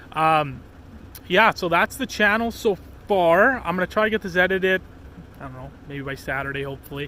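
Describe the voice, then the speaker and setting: The speech moves at a fairly quick pace. Its loudness swings widely. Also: man, high pitch for a man. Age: 20s. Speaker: outdoor vlogger. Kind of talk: casual vlog. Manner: rambling with many fillers.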